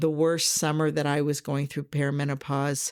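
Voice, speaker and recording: On a very clean recording with a silent background, a woman with an American accent speaks in a very deep, low pitch. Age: 60s. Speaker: podcast host and life coach. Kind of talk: podcast monologue. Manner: conversational.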